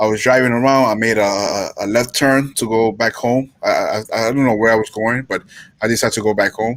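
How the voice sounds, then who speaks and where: A man with an American accent, medium in pitch, at a fairly quick pace and with fairly even intonation. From New York. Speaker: paranormal investigator and urban explorer. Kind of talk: casual chat on live talk show. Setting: live stream video call. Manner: halting, repeats words.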